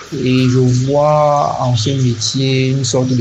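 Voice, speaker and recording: Against noticeable background noise and audible room echo, a man speaks in a monotone, flat intonation. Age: 20s. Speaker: comic artist. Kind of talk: interview.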